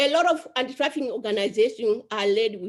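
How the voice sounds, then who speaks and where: A woman with an African accent speaks at a moderate pace with lively intonation. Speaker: survivor advocate. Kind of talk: panel discussion.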